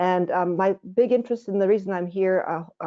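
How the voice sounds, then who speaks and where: Here a woman has an unremarkable speaking voice with a fairly low pitch. She keeps a fairly quick pace and fairly even intonation. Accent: American. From United States. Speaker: general practitioner. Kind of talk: webinar presentation. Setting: online webinar.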